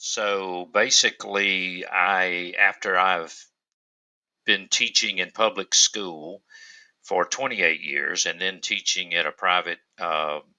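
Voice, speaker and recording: Someone with a Southern US accent speaks at a very slow pace with fairly even intonation. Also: man. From US South, upstate South Carolina. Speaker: teacher and author. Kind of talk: podcast interview.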